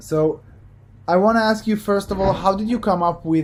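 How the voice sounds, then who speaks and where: Fairly quick, somewhat breathy speech with a non-native accent. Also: man. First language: not English. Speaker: business coach. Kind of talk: coaching call. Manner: halting.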